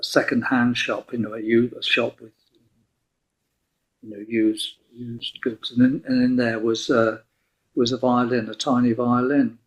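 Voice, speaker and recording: A man with an English accent speaks at medium pitch and a moderate pace. His intonation is monotone and flat, broken by long, frequent pauses. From southwest England, Plymouth. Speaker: violinist. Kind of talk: interview. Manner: halting.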